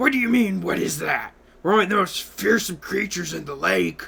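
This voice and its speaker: Using a raspy, put-on character voice, a man speaks at a fairly quick pace and a high pitch. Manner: menacing, glaring.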